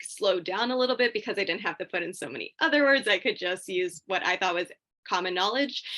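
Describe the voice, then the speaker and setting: A woman's bright, sharp voice with ordinary pitch variation. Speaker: graduate student, past competitor. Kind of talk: panel discussion on video call. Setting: video call. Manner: fast.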